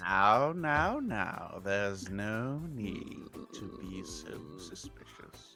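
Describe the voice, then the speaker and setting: A man's put-on character voice at a fairly low pitch and very slow pace, over clear music in the background. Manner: falsely soothing, sinister.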